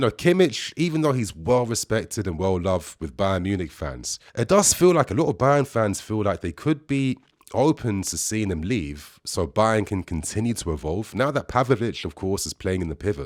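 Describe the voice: A man speaks at a moderate pace with a fairly low pitch and a slightly mellow tone, his voice making big pitch swings. The recording is very clean, with a silent background.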